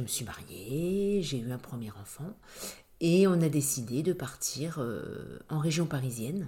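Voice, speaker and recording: A woman speaks with a dark, mellow tone and ordinary pitch variation. Audible room echo surrounds her voice. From Brittany, Brest. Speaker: real estate agent. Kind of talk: interview. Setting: at the guest's home. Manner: hesitant, many fillers.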